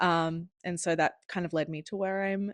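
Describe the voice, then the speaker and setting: In an Australian accent, a woman talks fairly quickly with a fairly low pitch and monotone, flat intonation, the sound dry and close with no echo and a quiet background. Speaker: podcast guest, former sports industry worker. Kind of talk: casual chat.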